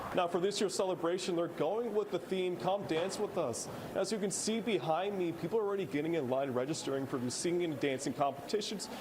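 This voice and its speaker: A man's high voice with lively intonation and a fairly quick pace, amid noticeable background noise. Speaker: news reporter. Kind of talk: TV news field report.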